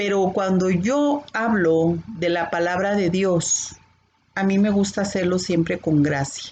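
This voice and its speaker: A woman speaks at a very slow pace. Her loudness stays very even. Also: ordinary pitch variation. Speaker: bible teacher. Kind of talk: bible class. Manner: can sound stern or scolding.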